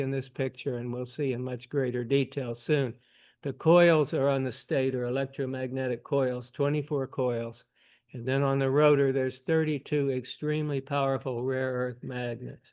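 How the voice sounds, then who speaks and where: A man's monotone, flat delivery over a quiet background. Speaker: amateur telescope maker. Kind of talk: technical presentation. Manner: soft-spoken. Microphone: volume issue.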